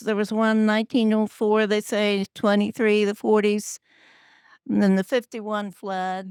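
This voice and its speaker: Speaking in a Midwestern US accent, a woman with a fairly high pitch goes at a fairly slow pace, recorded very cleanly against a silent background with a dry, close sound and no echo. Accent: rural Midwestern US. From Kansas. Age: 80s+. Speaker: longtime local resident. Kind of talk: panel reminiscence.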